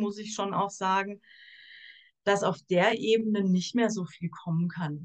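Using an ordinary speaking voice, a woman talks at a fairly slow pace with fairly even intonation. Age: 40s. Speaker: social worker. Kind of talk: casual chat.

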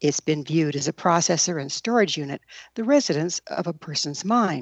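An ordinary speaking voice moves at a fairly quick pace. The intonation is lively. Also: woman. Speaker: radio host. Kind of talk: radio interview.

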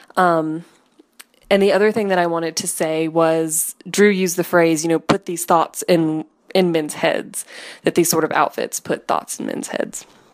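This woman has an ordinary speaking voice, fairly low in pitch, with fairly even intonation. Her pace is moderate. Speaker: caller. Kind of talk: recorded voicemail message.

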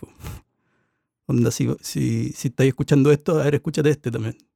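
A man with a Chilean accent, medium in pitch and dark and mellow in tone, on a dry, close recording with no echo. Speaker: sound engineer. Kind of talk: casual chat.

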